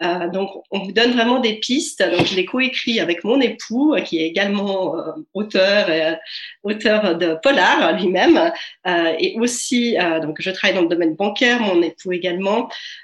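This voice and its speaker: Over noticeable background noise, a woman speaks fairly slowly at a medium pitch with lively intonation. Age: 40s. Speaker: author and life coach. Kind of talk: interview. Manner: hesitant, many filler sounds.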